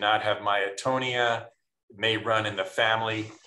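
Audible room echo is present. A man does the talking. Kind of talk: interview answer. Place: home room. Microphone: video call.

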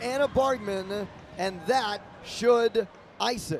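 Over noticeable background noise, a man speaks very slowly at an extremely high pitch with ordinary pitch variation. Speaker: play-by-play announcer. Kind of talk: live commentary. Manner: excitable on goals.

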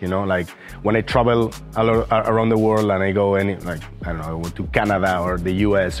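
A man speaks at a moderate pace in a very deep, low voice, with faint music in the background. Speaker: teacher. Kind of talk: interview answer. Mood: reflective, warm. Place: garden. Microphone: lapel.

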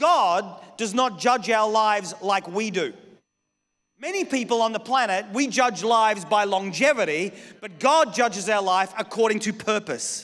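This man's voice sits at a high pitch, with ordinary pitch variation. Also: moderate pace. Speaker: pastor preaching. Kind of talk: sermon. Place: church. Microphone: handheld.

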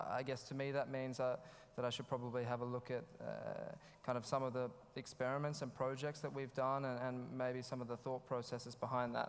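Speaking at a fairly quick pace, a man keeps a monotone, flat intonation. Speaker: conference speaker. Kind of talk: conference talk. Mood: slightly nervous, friendly. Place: hall. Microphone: headset.

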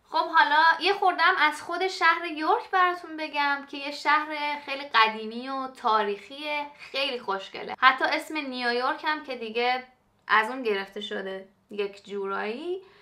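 A woman's raised, projected voice swings widely in loudness. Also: moderate pace. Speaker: cooking vlogger. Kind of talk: casual vlog chat. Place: kitchen. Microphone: camera far.

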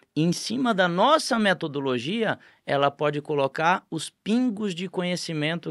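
Lively intonation comes through on a dry recording with no echo and a quiet background. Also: man. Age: 40s. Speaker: business owner, franchise group founder; podcast guest. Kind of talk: podcast interview. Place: studio. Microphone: studio mic.

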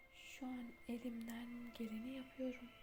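A calm, soft-spoken voice over music in the background. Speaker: meditation guide. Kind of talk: guided meditation, ASMR. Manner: soft-spoken, slow, calm.

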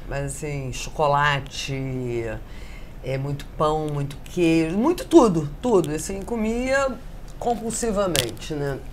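Over light background noise, the speaker moves at a very slow pace with very wide pitch swings. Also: woman, very deep, low pitch for a woman, big swings in loudness. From Rio de Janeiro, Brazil. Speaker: caterer; interviewee. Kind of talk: casual interview chat. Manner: animated. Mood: candid, personal, reflective. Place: home room. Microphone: lapel.

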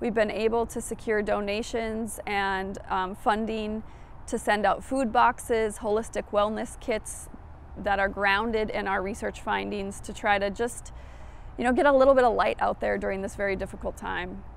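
A woman with an American accent uses an ordinary speaking voice at medium pitch, with fairly even intonation and a moderate pace. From Minnesota. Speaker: public health researcher. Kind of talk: interview.

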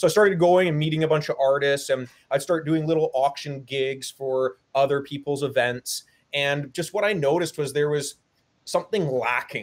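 A male voice, moderate in pace, with ordinary pitch variation. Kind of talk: interview answer. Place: home room. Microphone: webcam.

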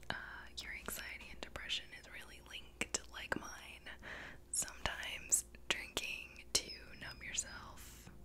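Loud background noise behind a woman's fairly slow speech. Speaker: video creator. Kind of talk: casual vlog chat. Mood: candid, reflective about anxiety. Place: home room. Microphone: studio mic.

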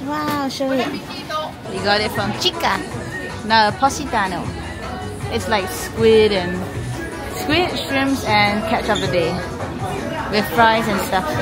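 Over clear music in the background, a woman speaks with long, frequent pauses. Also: fairly slow pace. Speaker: travel vlogger. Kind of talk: casual vlog chat. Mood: cheerful, excited. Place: street. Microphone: phone near.

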